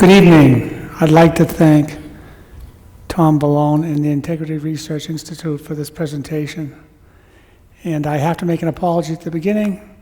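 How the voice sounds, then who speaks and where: In a Boston accent, the speaker uses monotone, flat intonation and long, frequent pauses against noticeable background noise. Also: man, fairly high pitch for a man, moderate pace. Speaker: engineer and researcher. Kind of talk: conference presentation. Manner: bombastic.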